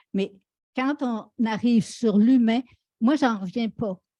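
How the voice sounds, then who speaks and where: A woman speaks at a very slow pace with a fairly high pitch and ordinary pitch variation. Her tone is dark, mellow and somewhat breathy, in a very clean recording with a silent background and a dry, close sound with no echo. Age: 70s. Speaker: panelist. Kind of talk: panel discussion.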